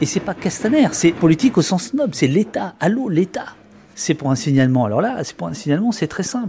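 The pitch of this man's voice swings very widely. He keeps a moderate pace. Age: 50s. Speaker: journalist and author. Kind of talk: interview.

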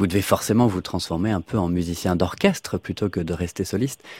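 A man with an unremarkable speaking voice, moderate pace and ordinary pitch variation, in a dry, close sound with no echo on a very clean recording with a silent background. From Normandy, France. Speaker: radio host. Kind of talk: radio presenting. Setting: studio.

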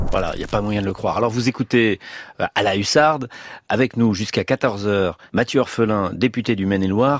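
A man speaks at a moderate pace on a very clean recording, the background silent and the sound dry and close with no echo. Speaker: radio host. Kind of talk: radio interview.

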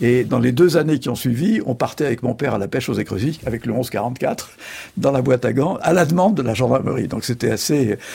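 A man is speaking. His intonation is lively. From France, Charente. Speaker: journalist and essayist. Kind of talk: interview.

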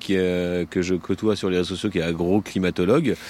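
The recording is very clean, with a silent background. A man talks at a moderate pace in a very deep, low voice. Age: 40s. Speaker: farmer. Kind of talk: field interview. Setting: outdoors on a farm.

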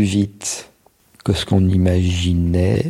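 A man speaks in a dark, mellow tone at a fairly low pitch. His voice is somewhat breathy. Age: 60s. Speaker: ski patroller. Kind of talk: interview testimony.

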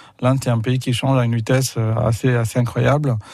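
A man talks in a medium pitch with a somewhat breathy voice. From India, Pondicherry. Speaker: film distributor. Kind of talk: radio interview. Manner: halting, repeats words.

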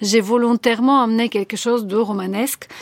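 A woman with a Bulgarian accent at a fairly slow pace, dry and close with no echo, on a very clean recording with a silent background. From Bulgaria, Sofia. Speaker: novelist. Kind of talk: radio interview.

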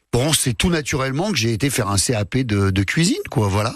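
An unremarkable speaking voice moves at a fairly quick pace with lively intonation against a quiet background. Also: man. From France, Lyon. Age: 50s. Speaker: comedian. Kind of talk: casual chat.

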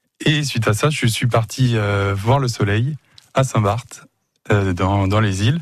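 Very slowly and with long, frequent pauses, a man speaks at a medium pitch in a somewhat breathy voice with very even loudness against a quiet background. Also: ordinary pitch variation. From Le Mans, France. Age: 20s. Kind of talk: radio interview. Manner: animated.

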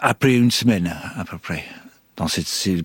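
A man talks at a moderate pace. He has an Irish accent. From Ireland. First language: English (speaking French). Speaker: former hostage. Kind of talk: testimony. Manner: halting.

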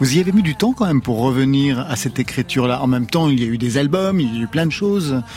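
A man at medium pitch, very fast pace and hardly any pauses, with music in the background. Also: lively intonation. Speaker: radio host. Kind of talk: casual chat. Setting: studio.

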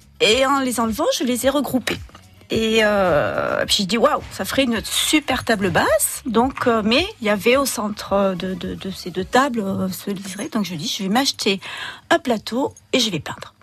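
Noticeable background noise sits under speech that unfolds at a fairly slow pace. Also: woman, fairly high pitch for a woman, lively intonation. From southern France, Roussillon. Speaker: artist designer. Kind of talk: radio interview. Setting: radio studio. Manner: halting.

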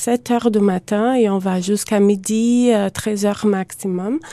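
A woman speaks fairly slowly in a Portuguese accent, her medium-pitched voice dark and mellow with fairly even intonation. The sound is dry and close, with no echo. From Brazil, Campinas near São Paulo. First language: Portuguese (speaking French). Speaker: immigrant. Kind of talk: radio interview. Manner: halting.

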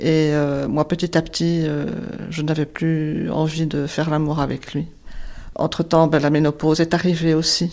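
Very deep and low in pitch, a woman's dark, mellow voice moves at a fairly slow pace with monotone, flat intonation. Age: 60s. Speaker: widow sharing personal story. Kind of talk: personal testimony.

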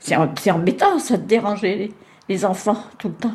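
Very slow speech from a woman, medium in pitch, with ordinary pitch variation. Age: 80s+. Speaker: nursing home resident. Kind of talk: casual interview. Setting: nursing home.

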